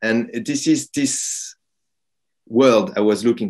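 A man speaks at a very slow pace with a French accent against a quiet background. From France. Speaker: film director and playwright. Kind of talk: interview. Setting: video call. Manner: hesitant, repeats words. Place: home room. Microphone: video call.

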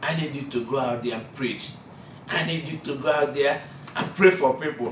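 With a Nigerian accent, a man talks at a fairly slow pace. Light background noise and audible room echo fill the recording. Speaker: preacher. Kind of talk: sermon. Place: classroom. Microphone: camera far.

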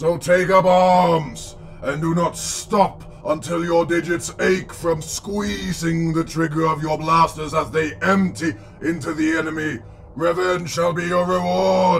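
A man performs a put-on character voice, fairly high in pitch, at a fairly slow pace. Clear background noise can be heard. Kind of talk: villain speech. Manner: commanding, cold, contemptuous, erupting into rage.

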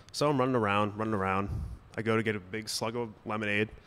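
This is a man speaking. His pace is moderate. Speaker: storyteller at live event. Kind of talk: live storytelling performance. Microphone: studio mic.

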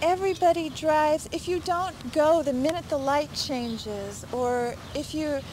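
Despite a dry sound with no echo, noticeable background noise surrounds a woman speaking at a high pitch and moderate pace with ordinary pitch variation. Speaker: interviewee. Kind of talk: interview answer. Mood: frustrated, emphatic. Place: street.

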